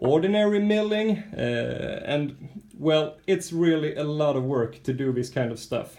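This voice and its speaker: At a moderate pace, a man talks with a Swedish accent. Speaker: RC model truck builder. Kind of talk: casual video walkthrough of a model.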